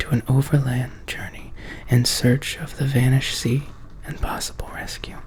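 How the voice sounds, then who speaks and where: Over noticeable background noise, a soft-spoken voice moves at a fairly slow pace. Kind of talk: horror story reading aloud from a book.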